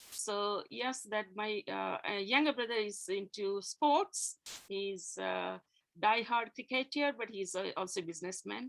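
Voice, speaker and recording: At a fairly slow pace, a woman with a Gujarati accent speaks at a medium pitch with ordinary pitch variation. The sound is dry and close, with no echo. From India, Gujarati community. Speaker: interview guest, engineer. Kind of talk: interview about faith and life. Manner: hesitant, many fillers.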